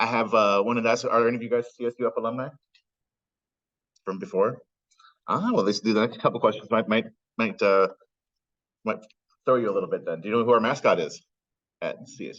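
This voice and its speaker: A man speaks at a very fast pace, broken by long, frequent pauses. His loudness swings widely, with ordinary pitch variation. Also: medium pitch for a man. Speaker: graduate advisor and program coordinator. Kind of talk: online program orientation talk.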